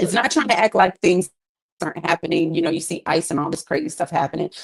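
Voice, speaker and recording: Speaking at a very fast pace, a woman talks at a fairly low pitch in an animated tone. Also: ordinary pitch variation. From US Midwest (East St. Louis, Illinois). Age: 40s. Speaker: gospel singer. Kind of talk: interview.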